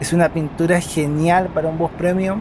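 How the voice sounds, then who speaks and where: High-pitched male voice at a fairly slow pace, with noticeable background noise. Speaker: travel vlogger. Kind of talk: travel narration. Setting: on a bus.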